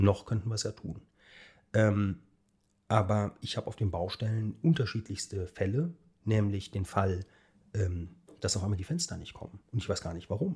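On a very clean recording with a silent background, a somewhat breathy man with a dark, mellow tone speaks at a fairly low pitch and moderate pace, with ordinary pitch variation and long, frequent pauses. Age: 40s. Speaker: architect. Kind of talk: casual interview.

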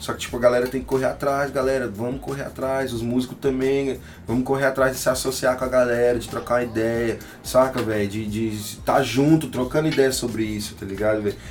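Amid noticeable background noise and audible room echo, a man speaks at a medium pitch and a fairly quick pace. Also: fairly even intonation. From Tocantins, northern Brazil. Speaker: rapper and music producer. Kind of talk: casual interview chat. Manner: casual slangy speech.

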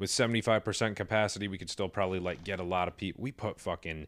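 In a very clean recording with a silent background, a man talks with an ordinary speaking voice, fairly low in pitch, and fairly even intonation. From New York. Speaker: stand-up comedian and show producer. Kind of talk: casual chat.

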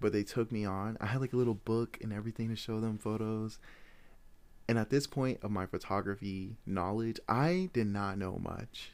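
The speaker has an American accent and talks at a moderate pace. The recording is very clean, with a silent background. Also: man. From Iowa, US Midwest (Des Moines). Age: 20s. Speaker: photographer and podcast host. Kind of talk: casual monologue.

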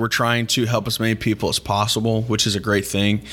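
A man with an American accent uses a normal speaking voice at medium pitch, keeping a fairly quick pace and fairly even intonation. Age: 20s. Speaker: podcast host. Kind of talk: casual interview.

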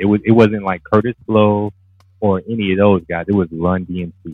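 Music plays in the background. A man talks at a moderate pace in a fairly low pitch. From US Midwest, Cleveland. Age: 40s. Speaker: former online rapper and writer. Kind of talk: casual chat.

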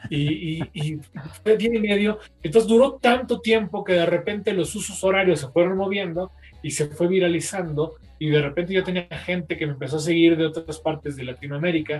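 This man has a high voice and speaks at a fairly quick pace. His pitch varies in an ordinary way. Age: 40s. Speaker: poet and copywriter. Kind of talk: casual chat.

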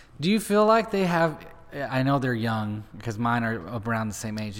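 A man speaks at a fairly quick pace and medium pitch. Noticeable background noise runs behind him. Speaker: podcast host. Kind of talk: casual interview.

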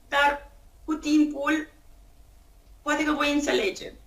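A woman talks in a high voice while music plays in the background. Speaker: entrepreneur and blogger. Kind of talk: interview testimony. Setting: remote call.

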